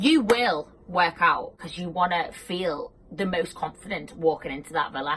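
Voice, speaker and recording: In a British accent, a woman speaks at a moderate pace over noticeable background noise. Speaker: personal trainer. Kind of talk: casual talk to camera. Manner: casual, filler-heavy.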